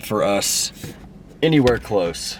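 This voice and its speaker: Noticeable background noise runs beneath a man's lively intonation. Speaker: hunting vlogger. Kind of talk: outdoor vlog narration. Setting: in a car.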